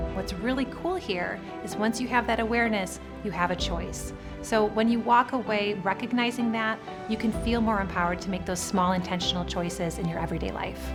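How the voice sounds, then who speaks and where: Over music in the background, a woman talks at a fairly quick pace in an upbeat, energetic tone. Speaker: motivational keynote speaker. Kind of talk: motivational keynote talk and interview answers.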